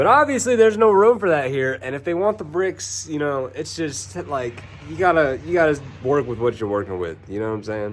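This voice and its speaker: A man's medium-pitched voice at a fairly quick pace, over noticeable background noise. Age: 20s. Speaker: HVAC technician vlogger. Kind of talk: casual vlog monologue. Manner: animated.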